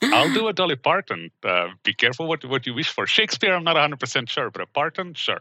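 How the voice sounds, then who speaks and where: A man at a fairly high pitch with very wide pitch swings, vocal fry and a bright, sharp tone, at a fairly quick pace with hardly any pauses. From Belgium. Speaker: security engineering manager. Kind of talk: interview.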